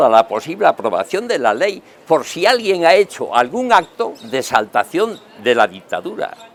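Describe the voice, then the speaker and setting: A man's pitch swings very widely as he speaks at a moderate pace, with noticeable background noise present. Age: 70s. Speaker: political talk show panelist. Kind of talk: panel debate. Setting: restaurant terrace.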